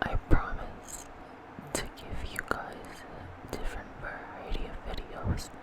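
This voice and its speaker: The speaker is a woman, whispering. She goes at a very slow pace against noticeable background noise. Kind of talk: ASMR mouth sounds video talking to camera. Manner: soft-spoken, whispering.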